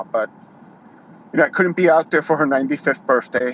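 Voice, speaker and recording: A man speaks with a New York accent and ordinary pitch variation. The sound is dry and close with no echo, over noticeable background noise. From New York City. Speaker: YouTuber. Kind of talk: casual monologue, live stream. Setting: YouTube live stream. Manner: halting, many fillers.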